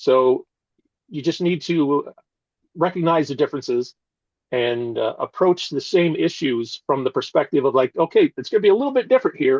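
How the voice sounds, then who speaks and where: With an American accent, a man speaks at a moderate pace in a fairly high pitch and lively intonation against a quiet background. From US Midwest, rural northern Iowa. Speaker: political candidate, retired military lawyer. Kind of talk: interview. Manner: hesitant, many fillers.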